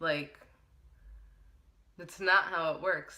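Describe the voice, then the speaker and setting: Her pace is fairly slow. This woman's tone comes across bright and sharp. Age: 20s. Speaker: beauty and lifestyle vlogger. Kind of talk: personal vlog talk. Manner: hesitant with many fillers.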